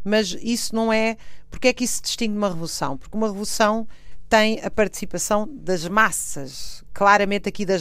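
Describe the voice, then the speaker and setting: A woman with a European Portuguese accent talks at a fairly quick pace with lively intonation. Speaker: historian. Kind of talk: interview. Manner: hesitant with fillers.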